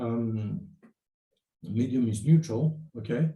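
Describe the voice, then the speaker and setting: Somewhat breathy, a man speaks at a medium pitch with a dark, mellow tone and ordinary pitch variation. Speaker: university lecturer. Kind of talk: lecture. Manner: halting, many fillers.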